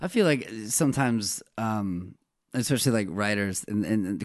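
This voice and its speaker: The background is quiet as a man talks at a fairly low pitch. His intonation is lively. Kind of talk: casual chat. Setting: studio.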